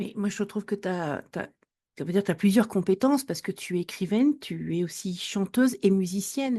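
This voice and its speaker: A woman's dark, mellow voice at medium pitch, moderate pace and ordinary pitch variation, against a quiet background. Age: 50s. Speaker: podcast host and life coach. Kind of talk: interview conversation.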